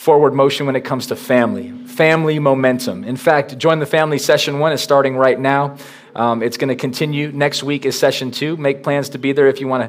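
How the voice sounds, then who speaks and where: Amid light background noise, a man talks at a fairly quick pace with fairly even intonation and hardly any pauses. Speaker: pastor. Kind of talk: sermon. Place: church.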